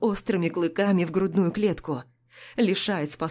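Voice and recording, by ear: Someone reads aloud here in a natural voice.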